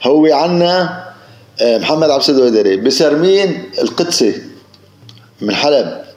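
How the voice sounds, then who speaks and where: Fairly high pitch from a man, with audible room echo and noticeable background noise. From Syria, Idlib countryside. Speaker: village headman. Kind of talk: interview, oral history reminiscence. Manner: halting, repetitive.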